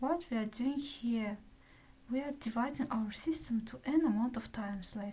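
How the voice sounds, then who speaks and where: The voice has a non-native accent, a dark, mellow tone and ordinary pitch variation. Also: woman. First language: not English. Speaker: math student. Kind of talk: math lecture.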